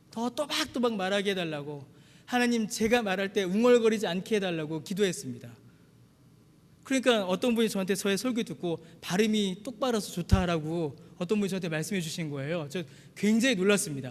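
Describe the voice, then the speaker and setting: With a Gyeongsang accent, a man speaks at a fairly quick pace in a high pitch, his intonation lively. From Busan, South Korea. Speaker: pastor. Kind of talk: sermon.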